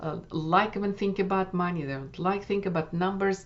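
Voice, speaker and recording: The speaker is a woman. She talks with a Russian accent. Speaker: wellness coach. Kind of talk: workshop summary talk. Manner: halting with many fillers.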